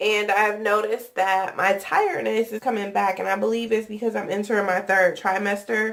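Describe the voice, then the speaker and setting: A woman's medium-pitched voice, monotone and flat in intonation, over noticeable background noise. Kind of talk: casual talk to camera.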